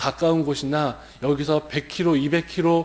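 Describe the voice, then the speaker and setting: Moderate pacing in a man's fairly high-pitched voice. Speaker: pastor. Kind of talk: sermon. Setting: church. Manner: shaky, stumbling over words.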